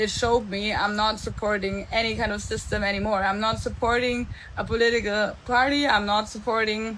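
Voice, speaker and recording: A woman speaks fairly quickly with a German accent, in a fairly high pitch and with hardly any pauses. Her intonation is monotone and flat, and room echo is audible. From Germany. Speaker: entrepreneur and mentor. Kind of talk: live stream monologue. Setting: live stream. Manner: casual, with fillers.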